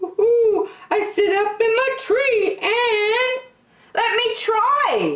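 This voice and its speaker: A woman puts on a squeaky character voice with extremely high pitch, speaking at a very slow pace. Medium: read story. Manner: hooting.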